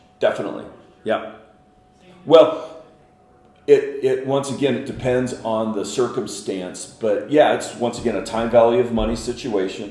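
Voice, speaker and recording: Music in the background behind a man's medium-pitched voice at a fairly slow pace. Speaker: auctioneer and commercial real estate professional. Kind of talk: interview answer, explanatory.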